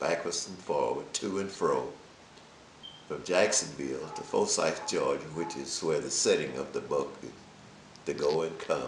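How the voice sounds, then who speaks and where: A man speaks at a fairly slow pace with long, frequent pauses and big swings in loudness. Background noise is noticeable. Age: 70s. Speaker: author and businessman. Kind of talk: interview answer.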